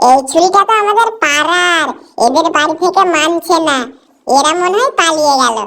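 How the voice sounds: In a cartoonish character voice, the speaker has a bright, sharp tone with vocal fry, ordinary pitch variation and a moderate pace.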